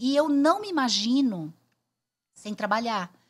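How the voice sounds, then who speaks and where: On a very clean recording with a silent background, a woman speaks with lively intonation. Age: 60s. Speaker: headhunter and speaker. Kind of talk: podcast interview. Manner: animated.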